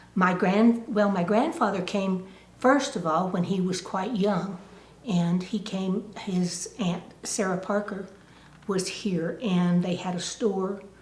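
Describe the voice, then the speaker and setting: Very slowly and with fairly even intonation, a woman of medium pitch speaks with an American accent amid audible room echo. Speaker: oral history interviewee. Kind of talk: oral history interview.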